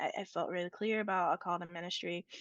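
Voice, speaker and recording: A woman with an American accent speaks in a plain, everyday voice at a moderate pace, with ordinary pitch variation. The sound is dry and close with no echo, over a quiet background. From rural Appalachia, USA. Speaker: priest and state senator. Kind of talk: interview answer.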